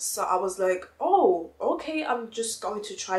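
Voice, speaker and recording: Over noticeable background noise, a woman speaks with a non-native accent. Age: young. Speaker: lifestyle YouTuber. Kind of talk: casual talk to camera.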